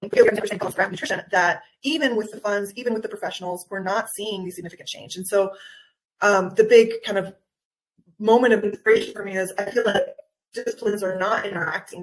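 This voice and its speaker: A woman with an American accent uses an ordinary speaking voice at medium pitch. Her intonation is fairly even, with big swings in loudness. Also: fairly quick pace. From Guatemala, raised by US parents. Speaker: nutritional anthropologist and wellness coach. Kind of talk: interview.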